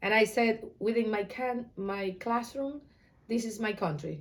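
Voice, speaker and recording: Speaking with an Ecuadorian accent, a woman uses a fairly high pitch and a fairly slow pace. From Ecuador, Guayaquil. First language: Spanish. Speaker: Spanish teacher. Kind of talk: interview.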